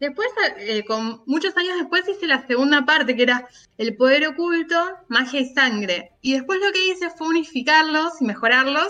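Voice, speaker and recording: Loud and projected, a woman speaks high with a bright, sharp tone in a Rioplatense accent. Her intonation is lively. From Argentina, Buenos Aires. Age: 30s. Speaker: writer and teacher. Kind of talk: interview conversation.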